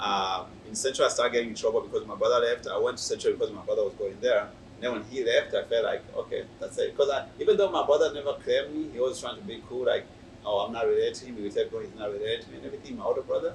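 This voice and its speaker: A man talks very fast, his loudness swinging widely, with noticeable noise behind him. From Burundi. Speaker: youth pastor. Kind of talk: testimony. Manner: halting.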